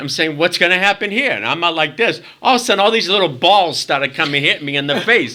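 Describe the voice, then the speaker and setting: A man with a Boston accent speaks at a fairly high pitch in a bright, sharp tone with vocal fry and very wide pitch swings. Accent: Boston accent, noticeable. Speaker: former stage performer. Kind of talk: casual chat interview storytelling. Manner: animated.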